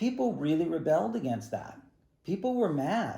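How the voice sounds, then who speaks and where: A man speaks at a moderate pace in a dark, mellow tone. His voice is somewhat breathy, with very wide pitch swings. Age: 60s. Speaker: ballet teacher and studio owner. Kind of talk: recorded statement to parents and students. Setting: video call. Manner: casual, halting with fillers.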